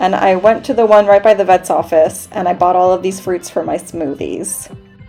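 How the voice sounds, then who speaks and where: A woman keeps a moderate pace while music sounds in the background. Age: 30s. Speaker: knitting podcaster, freelance translator. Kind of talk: vlog voiceover narration.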